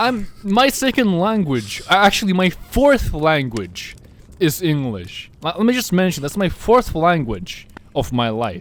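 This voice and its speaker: This man's pitch is high and swings very widely. He speaks at a fairly slow pace. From Finland. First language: Russian and Finnish. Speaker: podcast host. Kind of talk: casual chat. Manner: halting.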